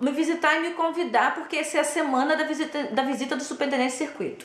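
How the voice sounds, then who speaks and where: Against noticeable background noise and audible room echo, a woman sounds animated in a high-pitched voice. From Brazil. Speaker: former Jehovah's Witness. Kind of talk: personal testimony.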